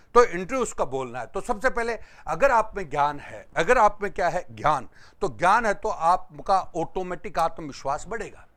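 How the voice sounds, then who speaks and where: In a very clean recording with a silent background, a man with a high pitch speaks with very wide pitch swings and big swings in loudness. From Rajasthan, Jhunjhunu district. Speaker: exam coaching teacher. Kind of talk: lecture.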